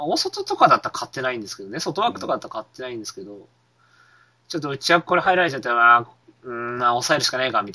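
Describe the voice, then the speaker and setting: A man speaks at a very fast pace at medium pitch, in a bright, sharp tone. His intonation is lively, and his loudness swings widely. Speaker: horse racing podcast co-host. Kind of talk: casual chat.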